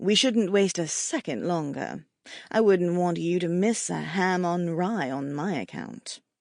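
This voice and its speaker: A woman adopts a put-on character voice with a British accent, fairly low in pitch. She drawls at a fairly slow pace. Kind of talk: sarcastic, posh. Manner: drawling, uppity.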